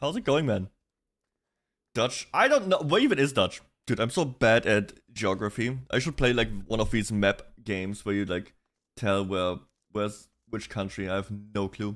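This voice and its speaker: A man with a slight German accent speaks at a fairly slow pace with long, frequent pauses, on a very clean recording with a silent background. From Germany. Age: 20s. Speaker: vtuber streamer. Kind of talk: casual livestream chat. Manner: casual, animated.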